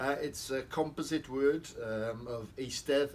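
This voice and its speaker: In a Welsh accent, the voice moves at a very slow pace with ordinary pitch variation. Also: man. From South Wales. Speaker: poet. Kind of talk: interview. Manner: hesitant with fillers.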